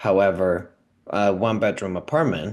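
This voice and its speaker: A man's very deep, low voice with a Spanish accent, against a quiet background. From Venezuela. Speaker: immigrant renter sharing housing story. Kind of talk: personal testimony interview. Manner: halting, many fillers and restarts.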